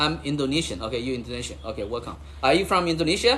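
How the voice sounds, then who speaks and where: A man talks at a fairly quick pace with a Chinese accent. Audible echo from the room surrounds his voice. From China. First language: Chinese (Mandarin and Cantonese). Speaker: livestreamer and real estate investor. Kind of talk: casual livestream chat. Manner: repetitive, halting phrasing.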